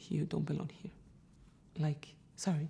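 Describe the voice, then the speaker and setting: Speaking with a Brazilian Portuguese accent, a woman with a fairly low pitch has a dark, mellow tone and vocal fry. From Brazil, Sao Paulo. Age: 30s. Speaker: photographer, immigrant interviewee. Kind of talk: interview testimony.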